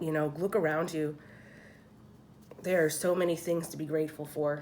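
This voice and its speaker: A woman with an American accent speaks at a moderate pace in a flat, monotone way, her pitch very deep and low. Audible room echo surrounds her voice. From Philadelphia, US. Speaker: tarot card reader. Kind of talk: tarot reading. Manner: casual, chatty.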